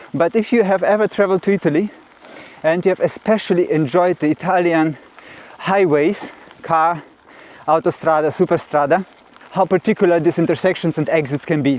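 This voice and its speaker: Speaking at a fairly quick pace with long, frequent pauses, a man uses a high pitch with ordinary pitch variation. His loudness stays very even against noticeable background noise. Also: dry, close sound with no echo. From Russia. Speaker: mountain bike vlogger. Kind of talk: casual vlog talk. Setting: outdoors, pedaling uphill on a trail.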